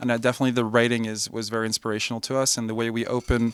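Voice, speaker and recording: In a French accent, the speaker rushes along at a very fast pace with flat, monotone intonation. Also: man. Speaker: electronic musician. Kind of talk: interview. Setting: music festival.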